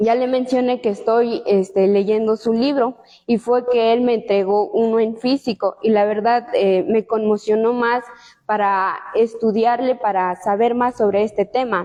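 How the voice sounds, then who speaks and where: At a fairly slow pace, a woman with a fairly high pitch speaks with fairly even intonation. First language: Tsotsil (speaking Spanish). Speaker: law student. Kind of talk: book presentation talk. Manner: hesitant, many fillers.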